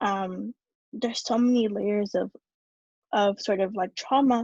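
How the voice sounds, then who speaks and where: A woman's fairly high, somewhat breathy voice keeps a fairly even intonation, with a dry, close sound and no echo. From New York City. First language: Spanish. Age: 20s. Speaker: youth activist. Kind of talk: talk to an audience. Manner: halting, many fillers and repeats.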